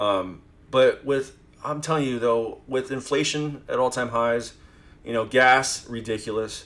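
A man with a normal speaking voice talks at a fairly slow pace, his medium pitch held in fairly even intonation. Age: 40s. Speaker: phone flipper and direct buyer. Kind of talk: casual podcast chat.

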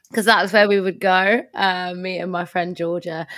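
This woman has a London accent and an animated tone that comes across bright and sharp. The recording is very clean, with a silent background. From London, Tottenham. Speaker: nonprofit fundraising consultant. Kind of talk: casual interview chat. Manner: animated, laughs often.

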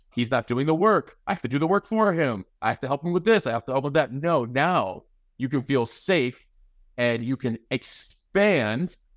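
In a plain, everyday voice, a man talks at a moderate pace with a fairly high pitch and lively intonation, on a very clean recording with a silent background and a dry, close sound with no echo. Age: 40s. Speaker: podcast host appearing as guest. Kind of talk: casual chat.

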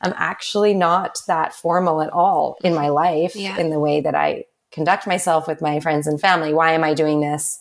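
Here a woman has a plain, everyday voice with fairly low pitch and fairly even intonation. She keeps a moderate pace with hardly any pauses. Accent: Canadian. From Canada, Vancouver. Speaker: entrepreneur. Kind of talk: casual chat.

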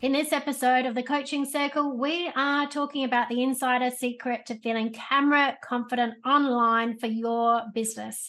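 In a high voice with a bright, sharp tone, a woman speaks with fairly even intonation and hardly any pauses over a quiet background. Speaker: podcast host and coach. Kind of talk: podcast interview.

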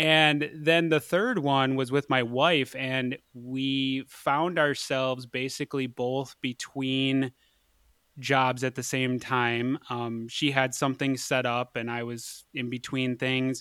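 A medium-pitched man's voice, bright and sharp, very slow and monotone, dry and close with no echo, on a very clean recording with a silent background. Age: 30s. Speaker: physician assistant. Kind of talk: casual interview. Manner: hesitant, many fillers.

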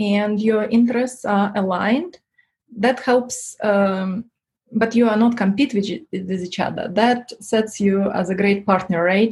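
A woman with a non-native accent speaks fairly slowly in a fairly high, somewhat breathy voice, her intonation fairly even. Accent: foreign-accented English. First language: not English. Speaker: tech entrepreneur. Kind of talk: interview. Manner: halting, many fillers.

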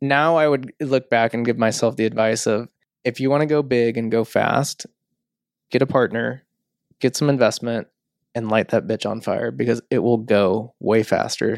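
With an unremarkable speaking voice, a man talks at a medium pitch and moderate pace with fairly even intonation, the sound dry and close with no echo in a very clean recording against a silent background. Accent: American. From St. Louis area, US Midwest. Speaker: entrepreneur, media studio co-founder. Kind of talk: casual interview chat.

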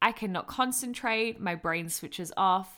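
On a very clean recording with a silent background, a woman speaks at medium pitch. Her pace is moderate and her intonation lively. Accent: Australian. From Australia, Melbourne. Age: 20s. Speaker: podcast host, personal trainer and nutritionist. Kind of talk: casual monologue. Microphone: professional mic.

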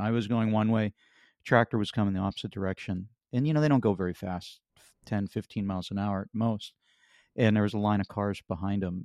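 A plain, everyday voice from a man with an American accent, fairly low in pitch and fairly even in intonation, fairly quick, in a dry, close sound with no echo. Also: quiet background. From western Pennsylvania. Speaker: author and accident survivor. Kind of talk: interview testimony.

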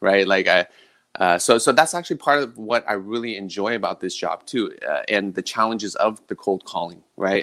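A man with an American accent, fairly low in pitch, bright and sharp in tone, at a fairly quick pace, in a very clean recording with a silent background and a dry, close sound with no echo. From San Francisco Bay Area, California. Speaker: real estate agent. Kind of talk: casual interview.

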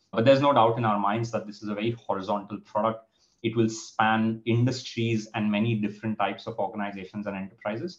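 Speaking very fast, the man has a fairly low pitch. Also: fairly even intonation. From India. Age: young. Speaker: startup founder. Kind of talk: interview.

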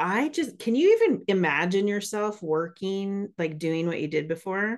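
The background is quiet. A woman speaks at a fairly slow pace with a medium pitch. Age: 40s. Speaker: podcast host, mindset coach. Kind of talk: interview. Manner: animated.

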